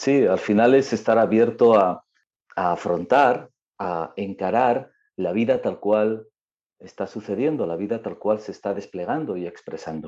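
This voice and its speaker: This man has a fairly low pitch and a dark, mellow tone. He talks at a fairly slow pace with ordinary pitch variation. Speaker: yoga teacher. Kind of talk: casual interview.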